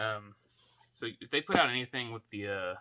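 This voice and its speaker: A man speaks quietly at a moderate pace, his pitch medium. His tone is bright and sharp. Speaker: toy collector YouTuber. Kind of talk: casual unboxing vlog. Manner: quiet, kept down for sleeping baby; hesitant, many fillers.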